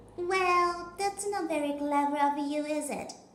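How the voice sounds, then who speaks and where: Using a put-on character voice, a woman speaks high for a woman at a fairly slow pace, with slight echo. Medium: read story.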